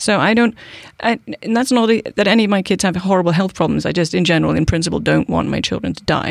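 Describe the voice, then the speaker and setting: A woman talks with a British accent. Her pace is very fast. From United Kingdom. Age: 40s. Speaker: political activist. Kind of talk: casual interview.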